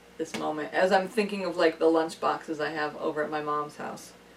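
There is noticeable background noise as a woman talks at a fairly quick pace. Her pitch is fairly low and her intonation fairly even. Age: 30s. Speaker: friend and amateur film actor. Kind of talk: casual chat.

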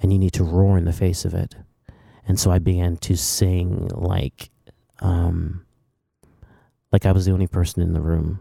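Soft-spoken and monotone, a man talks at a moderate pace with a very deep, low pitch, a dark, mellow tone, flat intonation and long, frequent pauses. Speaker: worship leader and songwriter. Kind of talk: interview testimony. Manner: quiet, soft-spoken off stage.

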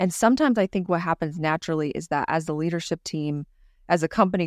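A normal speaking voice from a woman with an American accent, fairly low pitch, fairly quick pace, dry, close sound with no echo, very clean recording with a silent background. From California. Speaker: business owner. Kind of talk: casual chat.

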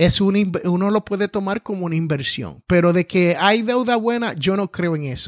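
A man's high-pitched voice with ordinary pitch variation and hardly any pauses, in a dry, close sound with no echo and a quiet background. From Puerto Rico. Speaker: entrepreneur and podcaster. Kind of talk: interview. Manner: slow; carefully enunciated.

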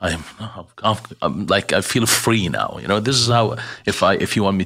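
A man with an Arabic accent speaks in a bright, sharp tone, and his voice carries vocal fry. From Jordan. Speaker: relief organization director. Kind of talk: interview, personal testimony. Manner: hesitant, many fillers.

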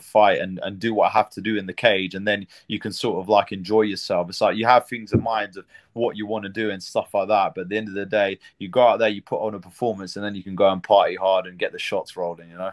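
A man with a fairly low pitch races along at a very fast pace with hardly any pauses, monotone, flat intonation and big swings in loudness, in a dry, close sound with no echo over a quiet background. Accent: British. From Britain. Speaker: MMA fighter. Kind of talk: interview.

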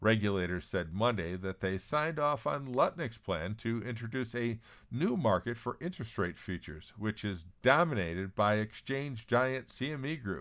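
Over a very clean recording with a silent background, a man of medium pitch uses a plain, everyday voice, talking at a moderate pace with lively intonation and hardly any pauses. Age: 60s. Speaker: newsletter publisher and podcast host. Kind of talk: scripted news reading.

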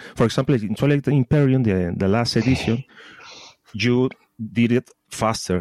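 A man with a Spanish accent speaks at a moderate pace and medium pitch, with ordinary pitch variation, very even loudness, long, frequent pauses and a dry, close sound with no echo. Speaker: podcast co-host. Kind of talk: interview. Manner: halting.

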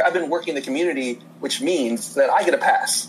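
Noticeable background noise sits behind a man speaking at a fairly quick pace in an American accent. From Indiana, US Midwest. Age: 30s. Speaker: podcast guest. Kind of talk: casual chat. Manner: halting.

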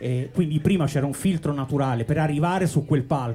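This man has a plain, everyday voice, fairly high in pitch with ordinary variation. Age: 40s. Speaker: DJ. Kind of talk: interview on live podcast. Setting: boat with live audience.

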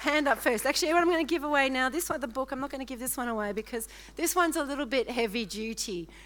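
A woman with an Australian accent, high-pitched and animated, lively intonation at a very fast pace. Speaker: guest preacher. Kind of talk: sermon. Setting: church.

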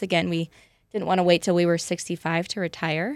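In a very clean recording with a silent background, a woman with an American accent uses an ordinary speaking voice at a fairly low pitch. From Parma, Idaho. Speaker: former military pilot, lender. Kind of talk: casual interview chat.

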